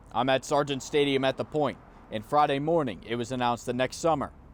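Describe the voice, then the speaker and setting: A man talks at a fairly high pitch while music plays in the background. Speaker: TV news reporter. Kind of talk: TV news report.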